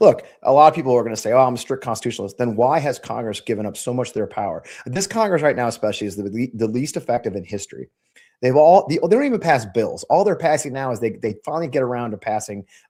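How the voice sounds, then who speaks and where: A man with an American accent speaks very fast at a medium pitch, his intonation lively and his tone dark and mellow, on a very clean recording with a silent background. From Missouri, St. Louis suburbs. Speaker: congressional candidate and army veteran. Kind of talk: interview on live stream. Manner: animated.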